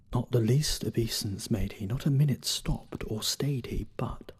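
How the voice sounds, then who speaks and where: A man talks fairly slowly in a somewhat breathy voice. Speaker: voice actor. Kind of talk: poetry reading. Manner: dramatic, expressive.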